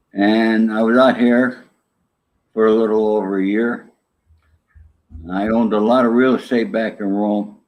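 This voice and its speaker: A man with a medium pitch talks in a monotone, flat intonation at a moderate pace. His speech has long, frequent pauses. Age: 70s. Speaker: former gangster and author. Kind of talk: interview. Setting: live show.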